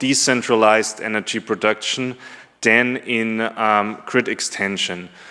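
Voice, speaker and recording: A man with a German accent, at a fairly slow pace. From Germany. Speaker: conference presenter, business development manager. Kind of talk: conference presentation. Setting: conference room with audience. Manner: hesitant, many filler ums.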